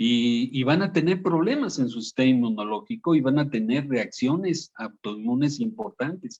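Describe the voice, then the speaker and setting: Very wide pitch swings at a moderate pace. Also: man, fairly high pitch for a man. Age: 60s. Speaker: talk show host. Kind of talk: panel discussion. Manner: halting.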